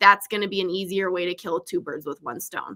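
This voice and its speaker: A woman talks at a fairly quick pace in a bright, sharp tone. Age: 30s. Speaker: real estate agent and content creator. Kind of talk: casual chat. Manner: fast.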